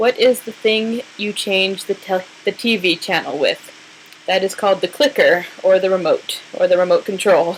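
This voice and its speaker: Noticeable background noise accompanies a woman with a Southwestern US accent speaking at a moderate pace with ordinary pitch variation. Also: medium pitch for a woman. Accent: American Southwest. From New Mexico. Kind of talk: casual talk to camera.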